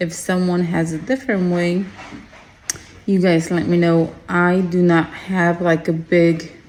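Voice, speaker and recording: Over noticeable background noise, a woman speaks at a very slow pace with a medium pitch. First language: Spanish. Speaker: craft small-business owner. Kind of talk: tutorial. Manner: casual, hesitant with fillers.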